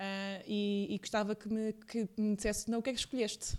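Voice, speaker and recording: On a very clean recording with a silent background, a woman with a fairly high pitch and fairly even intonation speaks in an ordinary speaking voice. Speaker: podcast host. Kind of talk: casual interview.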